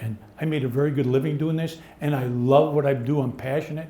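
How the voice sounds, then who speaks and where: A man's fairly high voice at a fairly quick pace, with ordinary pitch variation, audible room echo and noticeable background noise. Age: 70s. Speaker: cleaning industry veteran, panelist. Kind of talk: live panel discussion. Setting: live onsite event with audience.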